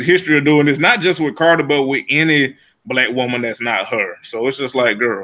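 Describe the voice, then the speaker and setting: The voice has a bright, sharp tone and a strong Southern US accent. It moves at a fairly quick pace with ordinary pitch variation. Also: man. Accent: heavy Southern US. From US South. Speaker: podcast co-host. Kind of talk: casual chat.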